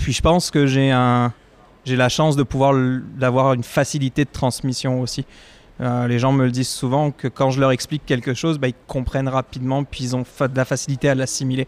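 This man talks at a fairly quick pace. His medium-pitched voice stays monotone and flat. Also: dry, close sound with no echo. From France. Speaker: executive chef. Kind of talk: casual chat.

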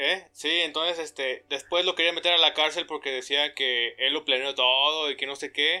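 A man speaks at a moderate pace in an unremarkable speaking voice, fairly high in pitch with fairly even intonation. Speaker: podcast co-host, engineering student. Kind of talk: casual chat. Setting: home recording.

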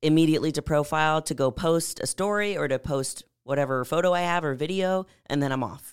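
On a very clean recording with a silent background, a woman speaks in a very deep, low pitch. She moves at a fairly quick pace with hardly any pauses and ordinary pitch variation. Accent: American. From San Antonio, Texas. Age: 20s. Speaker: bodybuilder and fitness coach. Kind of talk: casual chat.

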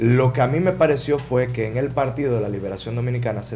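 The voice is somewhat breathy with a dark, mellow tone and ordinary pitch variation. It moves at a fairly quick pace, with audible room echo. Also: man. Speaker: politician, congressional candidate. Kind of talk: interview.

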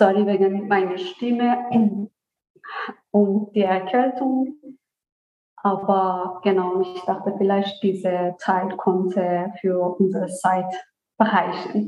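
A woman with a Persian accent at a very slow pace, fairly even intonation, and long, frequent pauses. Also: medium pitch for a woman, very even loudness. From Iran, Isfahan. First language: Persian (speaking German). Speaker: author. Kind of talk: interview. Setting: remote virtual recording. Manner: hesitant, many fillers.

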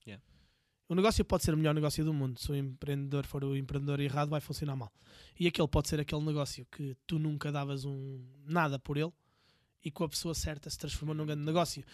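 A man speaks very fast at a fairly high pitch with fairly even intonation, in a very clean, dry, close recording with a silent background and no echo. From Portugal, Viseu. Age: 40s. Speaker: entrepreneur. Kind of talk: casual interview.

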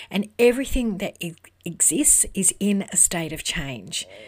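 With an Australian accent, a woman speaks at a fairly slow pace in a somewhat breathy voice. Her pitch swings very widely on a very clean recording with a silent background. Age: 50s. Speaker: podcast host and business network founder. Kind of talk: solo motivational talk.

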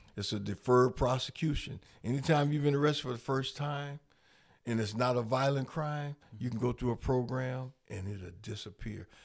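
Over a very clean recording with a silent background, a man speaks at a moderate pace with ordinary pitch variation. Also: medium pitch for a man. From Rockford, Illinois. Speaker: community organizer and mentor. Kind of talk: casual interview.

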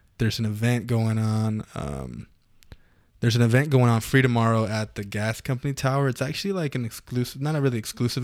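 It is a plain, everyday voice from a man. He speaks fairly quickly in a very clean recording with a silent background. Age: 30s. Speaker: audio and lighting technician. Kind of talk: casual chat. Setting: studio.

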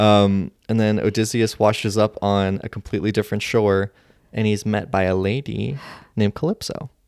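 Fairly low in pitch, a man talks at a moderate pace with a plain, everyday voice. His intonation stays fairly even. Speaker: podcast host. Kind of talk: casual chat.

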